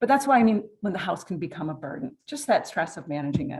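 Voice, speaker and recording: A somewhat breathy woman's voice at a fairly quick pace, with very wide pitch swings. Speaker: downsizing consultant. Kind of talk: presentation. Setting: stage with audience. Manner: soft-spoken.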